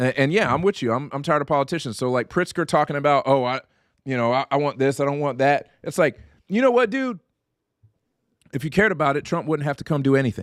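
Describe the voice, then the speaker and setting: On a very clean recording with a silent background and a dry, close sound with no echo, a man speaks very fast in a fairly high voice, his tone animated with ordinary pitch variation. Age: 40s. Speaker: political podcast co-host. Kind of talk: casual political discussion.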